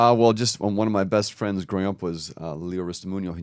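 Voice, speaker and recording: A very fast pace with an American accent and ordinary pitch variation, on a very clean recording with a silent background. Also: man. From Minnesota. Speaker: podcast co-host. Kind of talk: casual chat.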